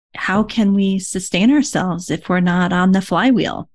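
A woman speaks at medium pitch and a moderate pace. Her voice is somewhat breathy, with ordinary pitch variation. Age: 50s. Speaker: podcast host and yoga therapist. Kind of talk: scripted intro; interview. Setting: video call.

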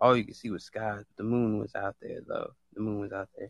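The speaker is a man at medium pitch. His pitch varies in an ordinary way. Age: 20s. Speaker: live audio room host. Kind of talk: casual chat. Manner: animated.

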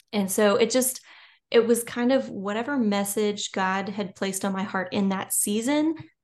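A woman speaks at a moderate pace with a Louisiana accent over a quiet background. Her pitch is medium, with ordinary pitch variation. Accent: Louisiana Southern US. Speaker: children's and nonfiction author. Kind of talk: casual interview chat.

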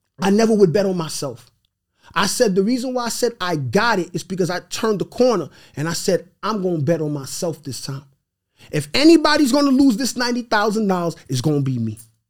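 A man's animated, high-pitched voice with a New York accent, at a fairly quick pace with very wide pitch swings. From New York City (Brooklyn, Queens). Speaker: real estate investor. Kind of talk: casual chat.

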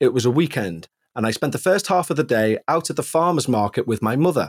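A man with a Liverpool accent talks at a fairly quick pace, with very wide pitch swings. The sound is dry and close, with no echo. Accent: Liverpool (Scouse) English. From northern England, Liverpool area. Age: 40s. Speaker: musician and ghost podcast host, guest storyteller. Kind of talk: first-person ghost story narration read aloud; casual chat. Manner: measured, atmospheric storytelling pace.

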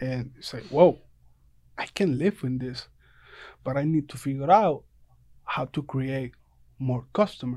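A man with a Puerto Rican accent speaks at a fairly slow pace, his medium-pitched voice dark and mellow with ordinary pitch variation. His loudness swings widely, and long pauses come often over a very clean recording with a silent background. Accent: Puerto Rican Spanish accent, limited English. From Puerto Rico. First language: Spanish. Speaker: barber. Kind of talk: casual interview.

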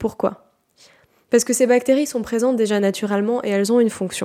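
A woman with a dark, mellow tone speaks at a fairly quick pace, her pitch varying in an ordinary way. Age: 20s. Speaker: naturopath and health podcaster. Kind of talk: solo educational podcast monologue. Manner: casual, conversational with fillers.

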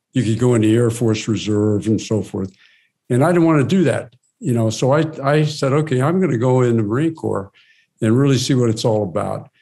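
A man speaks at a fairly quick pace. His tone is dark and mellow, and his loudness stays very even. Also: medium pitch for a man, ordinary pitch variation. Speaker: retired investment banker and author. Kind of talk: casual interview.

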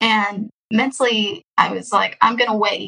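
The speaker is a woman with a plain, everyday voice and a fairly high pitch. She goes at a fairly slow pace, and her pitch varies in an ordinary way. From Texas, Houston. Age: 20s. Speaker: adoptee sharing her story. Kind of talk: casual interview.

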